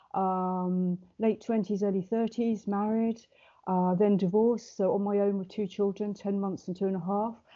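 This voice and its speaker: A woman speaks at a medium pitch with an English accent. Her intonation stays monotone and flat. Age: 60s. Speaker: wellbeing coach. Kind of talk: podcast interview. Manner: fast.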